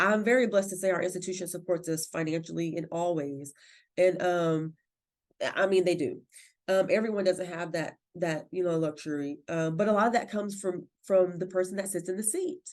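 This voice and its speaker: At a fairly quick pace, a woman of medium pitch speaks with fairly even intonation. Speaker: library director. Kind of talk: podcast interview. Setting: podcast recording. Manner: loud.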